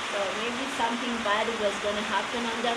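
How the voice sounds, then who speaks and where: Loud background noise competes with a woman as she talks. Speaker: travel vlogger. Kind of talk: casual vlog chat. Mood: relaxed, accepting, laughing. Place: open country. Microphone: camera far.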